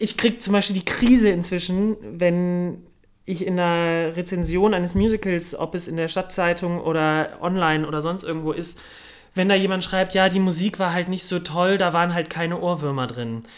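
A man with a high voice, fairly even intonation and a moderate pace. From Cologne, Germany. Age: young. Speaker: musical theatre performer. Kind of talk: casual interview. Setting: café.

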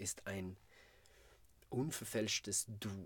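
Speaking at a very slow pace with a Swedish accent, a man is heard on a very clean recording with a silent background. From Sweden, Malmö. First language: Swedish (speaking German). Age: 40s. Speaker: musical performer. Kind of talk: interview. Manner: halting.

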